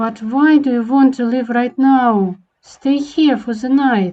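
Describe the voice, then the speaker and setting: Using a put-on character voice, a woman speaks fairly slowly in a high pitch with fairly even intonation. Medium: machinima. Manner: polite, smooth, coaxing.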